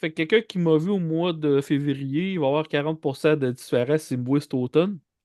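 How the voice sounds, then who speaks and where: A man speaks at a moderate pace with a fairly high pitch and ordinary pitch variation. The sound is dry and close with no echo, and the background is quiet. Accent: Quebec. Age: 40s. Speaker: comedian. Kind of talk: casual interview chat.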